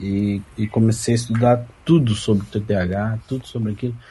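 The voice has a dark, mellow tone and is somewhat breathy. Its pitch varies in an ordinary way. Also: man. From Londrina, Paraná, Brazil. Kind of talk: casual group chat.

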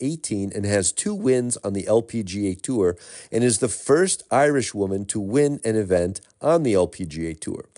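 A man's dark, mellow tone with lively intonation, set against a quiet background. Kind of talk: almanac announcer narration, reading dated golf history facts. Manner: steady, even, formal, briskly factual.

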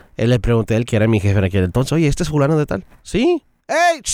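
Recorded very cleanly with a silent background and a dry, close sound with no echo, a man talks at a medium pitch and a fairly quick pace. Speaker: radio colleague, guest. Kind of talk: casual chat. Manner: loud.

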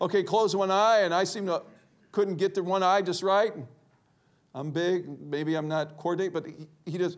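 This man has a high voice and an American accent, talking at a moderate pace with fairly even intonation. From Ohio, US Midwest. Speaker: guest preacher. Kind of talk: sermon. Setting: church with congregation.

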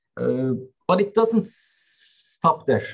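With a Turkish accent, a man talks at a fairly slow pace. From Turkey. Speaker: company CEO. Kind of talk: panel discussion.

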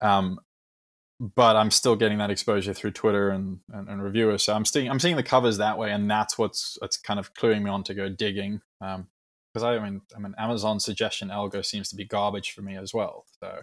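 In a very clean recording with a silent background, a man with a fairly low pitch speaks at a fairly quick pace in a monotone, flat intonation, with big swings in loudness. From South Africa. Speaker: author and competition organizer.

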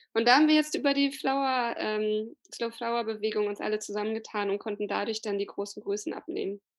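Here is a normal speaking voice from a woman, fairly high in pitch. She talks at a fairly quick pace with hardly any pauses. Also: ordinary pitch variation. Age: 30s. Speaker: flower gardener and slow flower advocate. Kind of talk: podcast interview.

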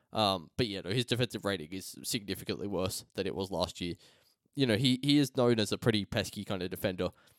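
A man with an Australian accent talks at a very fast pace, using ordinary pitch variation. The sound is dry and close, with no echo. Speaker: sports podcast host. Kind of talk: casual chat.

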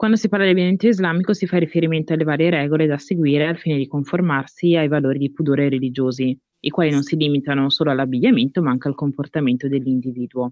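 A woman with a very deep, low pitch talks at a very fast pace with ordinary pitch variation. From Italy. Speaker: podcast host. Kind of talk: casual chat.

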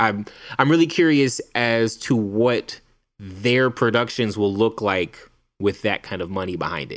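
In a very clean recording with a silent background, a man with a plain, everyday voice speaks at a medium pitch with ordinary pitch variation. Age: 30s. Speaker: film podcast co-host. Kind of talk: casual chat.

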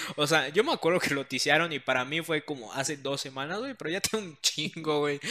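Here a man with a fairly high pitch and a bright, sharp tone speaks at a fairly quick pace. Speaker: podcast co-host. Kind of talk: casual chat.

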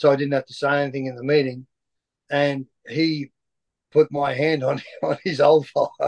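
With an Australian accent, a man speaks at a moderate pace and fairly high pitch in a monotone, flat way, leaving long, frequent pauses in a dry, close recording with no echo. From Queensland, Lockyer Valley. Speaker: former rugby player and coach. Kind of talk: interview. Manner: halting, many fillers.

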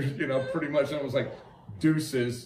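A man with an American accent talks at a fairly quick pace. There is noticeable background noise. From Wyoming, US. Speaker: podcast co-host. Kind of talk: casual chat about true crime.

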